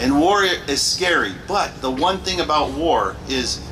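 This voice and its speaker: A man at a very slow pace with ordinary pitch variation, audible room echo and noticeable background noise. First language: Spanish. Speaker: retired army officer. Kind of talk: memorial ceremony speech.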